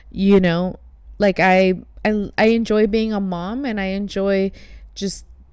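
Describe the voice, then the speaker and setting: The speaker has a Spanish accent and a monotone, flat intonation. Long pauses come often. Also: woman, medium pitch for a woman, fairly slow pace. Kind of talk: casual chat.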